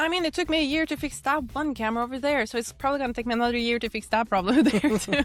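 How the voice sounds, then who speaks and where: A woman's high voice at a very fast pace with hardly any pauses and ordinary pitch variation, over noticeable background noise. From Norway. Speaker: YouTube reaction creator. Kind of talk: interview, casual chat.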